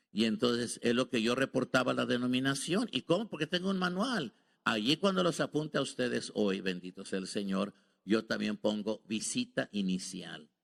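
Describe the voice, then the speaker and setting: Very wide pitch swings mark this man's medium-pitched voice, delivered at a moderate pace. The sound is dry and close with no echo, on a very clean recording with a silent background. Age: 70s. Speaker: visiting preacher. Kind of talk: sermon. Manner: halting.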